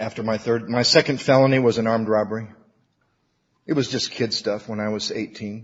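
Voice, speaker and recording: A man with an American accent has a normal speaking voice at a medium pitch. He talks at a fairly quick pace with fairly even intonation. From Michigan (Battle Creek). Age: 50s. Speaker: recovery workshop speaker. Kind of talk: recovery talk to an audience.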